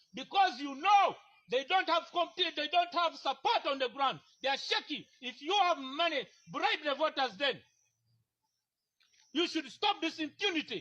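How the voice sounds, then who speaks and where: With a raised, projected voice and an extremely high pitch, a man speaks at a moderate pace in a bright, sharp tone, with lively intonation and long, frequent pauses. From Uganda, Teso region. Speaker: aspiring parliamentary candidate. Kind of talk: heated confrontation. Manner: loud; animated.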